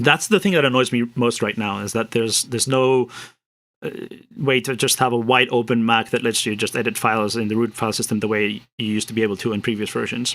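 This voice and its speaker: Speaking very fast with fairly even intonation, a man is heard on a very clean recording with a silent background. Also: medium pitch for a man. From Spain. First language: Spanish. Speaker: programmer streaming his work. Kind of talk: live coding stream, casual commentary. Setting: live stream. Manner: hesitant, many repetitions and fillers.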